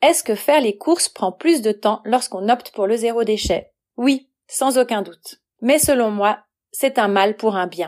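In a very clean recording with a silent background, a woman with an ordinary speaking voice talks at a fairly slow pace and a fairly high pitch with ordinary pitch variation. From Switzerland, Valais. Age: 40s. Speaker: freelance writer and translator. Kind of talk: prepared talk, read monologue.

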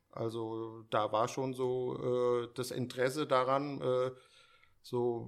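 A man speaks in a flat monotone. The recording is very clean, with a silent background. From Germany, Frankfurt area (Steinbach). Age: 50s. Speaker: sneaker store owner. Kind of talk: casual interview chat. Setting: hotel conference room.

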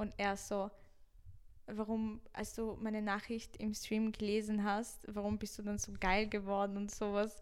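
A woman speaks in a fairly high, monotone voice with flat intonation at a fairly slow pace. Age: 20s. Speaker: Twitch streamer. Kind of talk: casual chat. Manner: loud.

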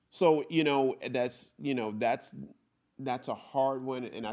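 The recording of this man is very clean, with a silent background, and his pitch varies in an ordinary way. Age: middle-aged. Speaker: podcast co-host. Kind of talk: casual chat.

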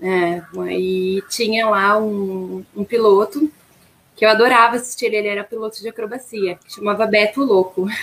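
A woman's ordinary speaking voice, fairly even intonation, big swings in loudness. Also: medium pitch for a woman, moderate pace. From Rio Grande do Sul, Brazil. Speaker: flight attendant. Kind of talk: interview.

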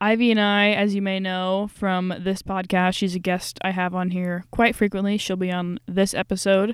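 This woman talks at a moderate pace with hardly any pauses, her medium-pitched voice flat and monotone, on a very clean recording with a silent background. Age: 20s. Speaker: podcast host. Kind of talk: casual chat. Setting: small room.

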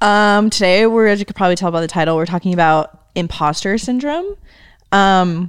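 Here is a woman with an ordinary speaking voice. Her pitch sits in the middle range, and her intonation is lively. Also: very clean recording, silent background. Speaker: podcast co-host, graphic designer. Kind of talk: casual chat.

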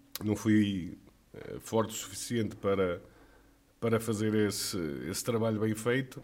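The speech moves at a fairly slow pace with long, frequent pauses and monotone, flat intonation. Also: man, fairly low pitch for a man. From Trás-os-Montes, Portugal. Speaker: former footballer and club director. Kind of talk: casual interview.

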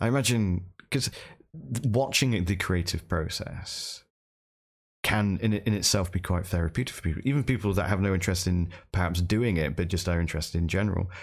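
A man speaks with a British accent at a fairly quick pace. His voice is very deep and low, with ordinary pitch variation. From UK. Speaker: podcast host and streamer. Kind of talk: casual interview chat. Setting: remote call across time zones.

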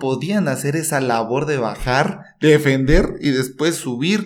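Audible room echo surrounds a man speaking at a fairly slow pace. His voice is fairly high in pitch. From Mexico, Chiapas. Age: 20s. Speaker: podcast co-host, football commentator. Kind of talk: casual football chat.

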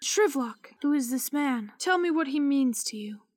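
A female-sounding, high-pitched voice performs a put-on character voice. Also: moderate pace. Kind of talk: solemn ghost-story voice. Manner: grave, slow, coaxing.

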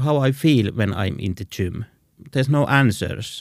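A man speaks with a Finnish accent. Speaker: visual artist. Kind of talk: interview. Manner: halting.

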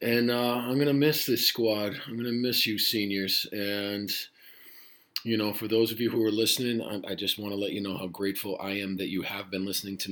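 At a moderate pace, a man talks with a fairly low pitch and fairly even intonation. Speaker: high school Spanish teacher. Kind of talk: podcast monologue to students. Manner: rambling, casual.

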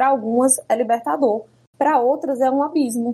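Talking very fast, the woman lets her pitch vary in an ordinary way. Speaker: jurist and activist. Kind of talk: interview conversation.

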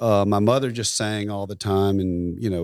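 In a Southern US accent, a voice moves at a fairly quick pace with ordinary pitch variation, dry and close with no echo, on a very clean recording with a silent background. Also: man. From US South, rural Tennessee. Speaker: photographer and musician. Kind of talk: interview.

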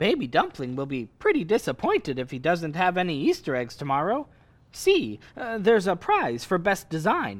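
A man speaks at a moderate pace. His pitch is high for a man and swings very widely. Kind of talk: old-time radio comedy. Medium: audio drama. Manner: naive, eager, easily flustered.

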